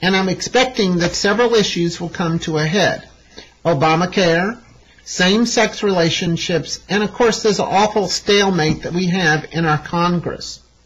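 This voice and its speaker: Speaking with an East Texas accent, a woman talks at a moderate pace. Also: medium pitch for a woman, ordinary pitch variation. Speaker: astrologer, show host. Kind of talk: astrology forecast talk. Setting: studio.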